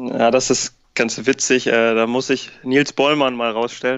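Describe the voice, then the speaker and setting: Flat, monotone intonation marks a man's speech at a medium pitch. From northern Germany, Ammerland (Lower Saxony). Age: 20s. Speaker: amateur futsal club founder and coach. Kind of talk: podcast interview.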